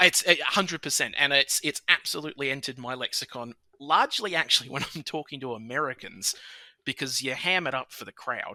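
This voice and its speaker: A bright, sharp tone with an Australian accent, delivered at a fairly quick pace with ordinary pitch variation. The sound is dry and close with no echo, and the loudness swings widely. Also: man, fairly high pitch for a man. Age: 30s. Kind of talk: casual chat.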